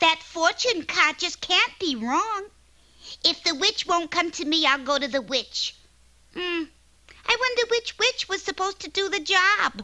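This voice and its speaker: A female-sounding, cartoonish character voice at an extremely high pitch moves along at a moderate pace. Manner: pushy, eager.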